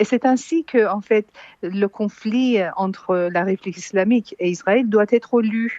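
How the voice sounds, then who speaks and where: At a fairly slow pace, a woman with a normal speaking voice and fairly high pitch speaks with ordinary pitch variation, in a dry, close sound with no echo. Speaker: exiled political analyst. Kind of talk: radio interview.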